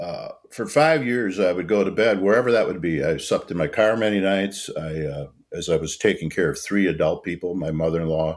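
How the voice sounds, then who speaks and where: Here a man talks with a very deep, low pitch at a fairly quick pace. The recording is very clean, with a silent background. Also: lively intonation. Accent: American. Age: 70s. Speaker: non-profit founder. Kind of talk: podcast interview. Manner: halting.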